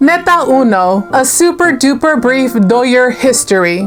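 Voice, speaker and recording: A woman with an American accent speaks at high pitch and a fairly slow pace, with an animated tone and lively intonation. Music plays in the background. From East Los Angeles, US. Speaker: YouTuber. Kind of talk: scripted vlog commentary.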